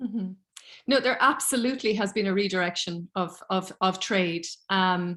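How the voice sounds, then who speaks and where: With a Cork accent, a woman talks at a moderate pace in a medium pitch with ordinary pitch variation. Her tone is bright and sharp, and the recording is very clean with a silent background. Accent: Irish (Cork). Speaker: politics lecturer. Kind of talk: academic seminar Q&A.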